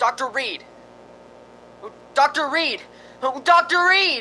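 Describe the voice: A man does a put-on character voice at an extremely high pitch, bright and sharp in tone, with lively intonation at a slow pace.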